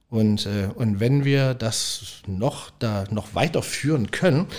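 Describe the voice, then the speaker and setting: This man's pitch is medium. It shifts in an ordinary way. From Leipzig, East Germany. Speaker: restaurant owner. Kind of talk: casual interview. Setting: restaurant. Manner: halting, many repetitions.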